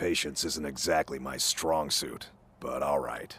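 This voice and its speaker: A man's put-on character voice, raspy and very deep in pitch, at a fairly slow pace. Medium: video game.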